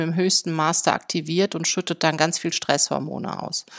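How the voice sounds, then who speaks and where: In a very clean, dry, close recording with a silent background and no echo, a woman talks at a fairly quick pace. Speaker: psychotherapy practitioner and podcast host. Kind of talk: solo podcast monologue. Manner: hesitant with frequent fillers.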